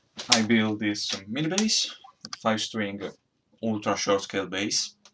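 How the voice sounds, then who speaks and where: Speaking with a strong Italian accent, a man keeps a fairly slow pace and a fairly low pitch with ordinary pitch variation. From Italy. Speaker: amateur luthier and musician. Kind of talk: DIY build vlog. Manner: hesitant, with fillers. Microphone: laptop recording.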